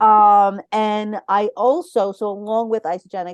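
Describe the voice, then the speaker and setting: The sound is dry and close with no echo as a woman talks in a New York accent. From Brooklyn, New York. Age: 50s. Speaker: wellness consultant and coach. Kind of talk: podcast interview. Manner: energetic.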